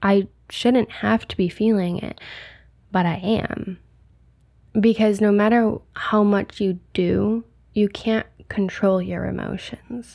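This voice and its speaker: A woman's medium-pitched, gentle, dark and mellow voice, monotone and flat, at a very slow pace, on a very clean recording with a silent background. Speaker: podcast host. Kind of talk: solo podcast pep talk, like an honest journal entry. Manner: candid, conversational, unpolished, with ums and pauses; low-energy, gentle and reassuring.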